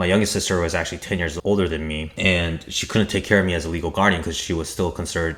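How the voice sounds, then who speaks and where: The speaker has a Korean accent and ordinary pitch variation. Noticeable background noise runs under the voice. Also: man. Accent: Asian (Korean). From Korea and US. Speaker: YouTuber. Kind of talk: personal storytelling.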